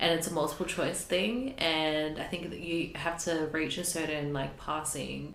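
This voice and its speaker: A woman with an Australian accent and a very deep, low pitch, ordinary pitch variation, hardly any pauses, and audible room echo. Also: moderate pace. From New Zealand, moved to Australia at 10. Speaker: podcast co-host. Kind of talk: casual chat.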